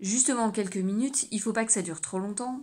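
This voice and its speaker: Ordinary pitch variation in a woman's speech. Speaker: vlogger, homeschooling mother. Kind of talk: casual vlog monologue. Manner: slow; hesitant, many fillers.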